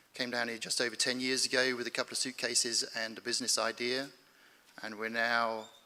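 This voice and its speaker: A man's medium-pitched voice with a British accent, bright, sharp tone and monotone, flat intonation at a fairly quick pace. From United Kingdom. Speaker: space company founder, panelist. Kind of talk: conference panel discussion.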